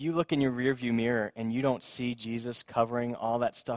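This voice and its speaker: On a very clean recording with a silent background and a dry, close sound with no echo, a man with a plain, everyday voice and medium pitch speaks at a fairly quick pace with fairly even intonation. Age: 30s. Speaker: pastor. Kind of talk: sermon.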